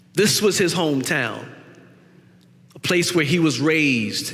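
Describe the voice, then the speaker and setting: A man with an American accent and lively intonation at a fairly slow pace, amid noticeable background noise and audible room echo. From US South, South Carolina Gullah low country. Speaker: guest preacher. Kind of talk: sermon.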